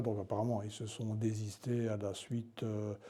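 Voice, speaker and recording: A man speaks in a fairly low pitch, his voice somewhat breathy. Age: 70s. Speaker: retired journalist. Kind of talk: interview. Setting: indoor venue, mill. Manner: halting, many repetitions.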